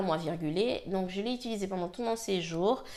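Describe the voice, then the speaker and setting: A woman speaks at a moderate pace. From French Guiana. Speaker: hair care vlogger. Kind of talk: casual talk to camera, product review.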